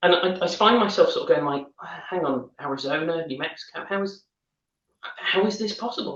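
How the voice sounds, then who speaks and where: A man speaks with a northern English accent. His pace is fairly quick and his intonation lively. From northern England. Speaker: wine educator. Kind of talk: casual chat.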